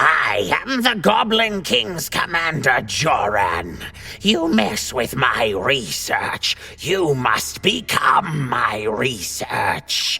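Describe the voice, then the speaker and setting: A man's shrill, put-on character voice at a very slow pace. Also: fairly high pitch for a man. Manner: threatening.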